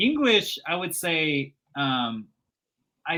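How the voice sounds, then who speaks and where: A man with a non-native accent. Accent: foreign. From Kazakhstan, Kostanay. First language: Russian. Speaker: sales recruiter. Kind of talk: casual interview.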